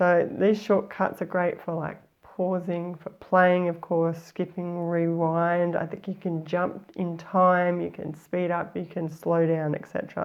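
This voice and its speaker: Against a quiet background, a woman with an Australian accent talks at a fairly slow pace with hardly any pauses. Her pitch is fairly low and her intonation monotone and flat. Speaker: life story coach, former journalist; life story writing coach. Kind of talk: tutorial. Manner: casual, conversational with fillers. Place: studio. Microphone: lapel.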